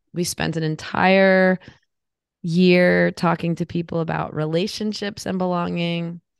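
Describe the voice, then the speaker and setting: In a quiet background, a woman with a fairly low pitch speaks at a fairly slow pace in a monotone, flat intonation. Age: 50s. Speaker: podcast co-host. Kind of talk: casual chat.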